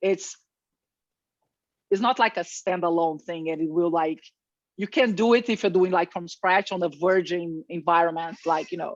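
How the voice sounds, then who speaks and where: At a moderate pace, a woman with a fairly low pitch and ordinary pitch variation leaves long, frequent pauses against a quiet background. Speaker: software presenter. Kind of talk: tutorial.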